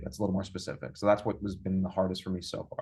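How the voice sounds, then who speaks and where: Speaking with a New York accent, a man goes at a very fast pace. His voice is fairly low in pitch and somewhat breathy. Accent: New York American. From US, New York. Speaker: user experience designer. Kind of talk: interview. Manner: halting, many repeated words.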